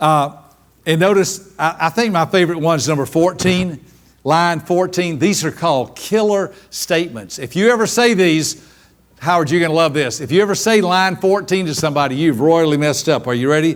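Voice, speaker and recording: Here a man talks at a high pitch with ordinary pitch variation. His pace is fairly quick. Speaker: seminar speaker on personality styles. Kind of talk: live workshop talk. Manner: fast; animated.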